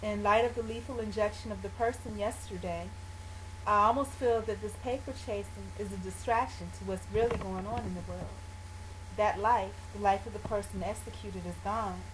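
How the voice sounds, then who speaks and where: A moderate speaking pace, noticeable background noise throughout. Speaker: video blogger. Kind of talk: personal vlog monologue; reading aloud from own journal. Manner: gets quieter when discussing painful topics; hesitant, many fillers.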